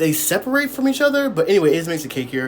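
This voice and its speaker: Background noise is noticeable. Over it, a man talks. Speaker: beauty tutorial vlogger. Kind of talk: tutorial. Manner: halting, stammering; casual.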